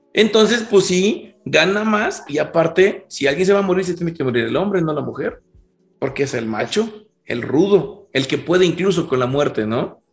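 With music in the background, a man with a high pitch speaks at a moderate pace with lively intonation. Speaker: podcast co-host. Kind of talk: casual chat.

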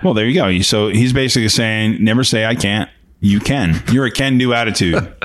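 With a plain, everyday voice, a man talks at a fairly quick pace and medium pitch, showing ordinary pitch variation and very even loudness. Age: 50s. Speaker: podcast co-host. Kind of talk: casual chat.

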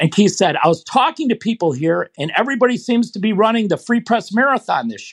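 A man with an American accent, very wide pitch swings, and a dry, close sound with no echo. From Michigan, US. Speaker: running coach. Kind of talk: interview. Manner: halting, many fillers.

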